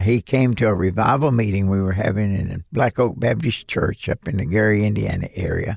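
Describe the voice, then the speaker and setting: A man talks with a Southern US accent at a fairly low pitch. The sound is dry and close, with no echo. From US South, western Kentucky. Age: 80s+. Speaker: retired missionary and preacher. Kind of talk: radio interview. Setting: studio.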